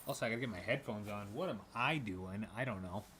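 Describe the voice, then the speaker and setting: A man with an unremarkable speaking voice talks at a fairly quick pace, his fairly low pitch showing ordinary variation. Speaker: gaming streamer. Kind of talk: casual live stream chat. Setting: home garage. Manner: casual, filler-heavy.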